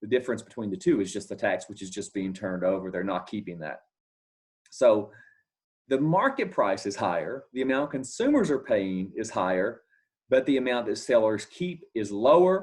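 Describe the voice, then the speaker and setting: On a very clean recording with a silent background, a man at a medium pitch speaks with very wide pitch swings. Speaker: economics lecturer. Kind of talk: lecture. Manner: fast.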